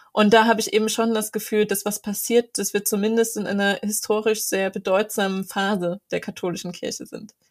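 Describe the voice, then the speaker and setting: A woman talks fairly quickly in a fairly high, monotone voice with flat intonation. The recording is very clean, with a silent background. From Saxony, Ore Mountains. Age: 20s. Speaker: student and church activist. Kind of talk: interview.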